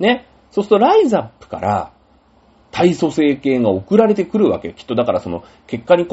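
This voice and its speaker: The voice has vocal fry and very wide pitch swings. It moves at a moderate pace. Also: man. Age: 40s. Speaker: podcast host. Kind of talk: casual solo talk.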